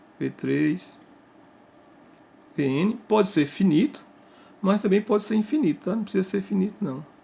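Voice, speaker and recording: Speaking at a moderate pace with long, frequent pauses, a man uses a high pitch and a dark, mellow tone. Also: lively intonation. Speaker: math teacher. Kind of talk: lecture.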